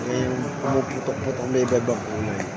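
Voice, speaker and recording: A man at a moderate pace, with audible room echo and music in the background. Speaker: travel vlogger. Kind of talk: casual vlog narration. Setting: outdoors and in a casino resort, on a trip.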